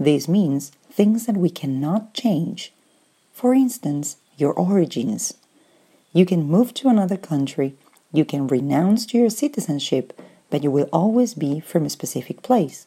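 A woman speaks slowly-ish, at a fairly slow pace, in a Spanish accent. Her fairly low voice has a dark, mellow tone and very wide pitch swings. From Argentina. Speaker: Spanish teacher. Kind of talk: language lesson. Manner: clear, didactic.

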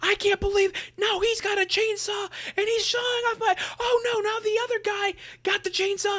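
A man's put-on character voice, shouting at an extremely high pitch, monotone and flat, at a moderate pace. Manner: screaming.

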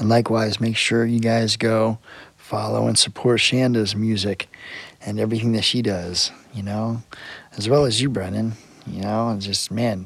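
Amid noticeable background noise, a man talks at a moderate pace and medium pitch with monotone, flat intonation. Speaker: musician guest. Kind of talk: casual chat.

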